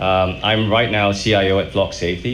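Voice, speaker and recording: Noticeable background noise and audible room echo accompany a man speaking at a very deep, low pitch. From Malaysia. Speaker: tech executive. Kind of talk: panel discussion.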